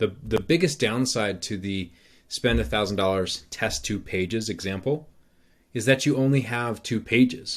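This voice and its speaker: A man with an ordinary speaking voice, medium pitch and ordinary pitch variation, at a moderate pace, in a very clean recording with a silent background. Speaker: marketing trainer. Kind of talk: presentation walkthrough. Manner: casual with fillers.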